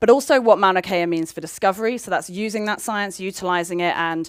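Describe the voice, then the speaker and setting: In a very clean recording with a silent background, a woman with a British accent speaks fairly quickly with ordinary pitch variation. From United Kingdom. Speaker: astronomer. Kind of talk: public science lecture. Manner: casual, chatty.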